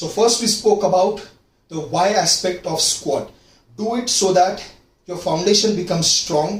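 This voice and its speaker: Heard with audible room echo, a man speaks at a fairly slow pace in a high pitch with ordinary pitch variation. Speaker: fitness coach. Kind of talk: tutorial.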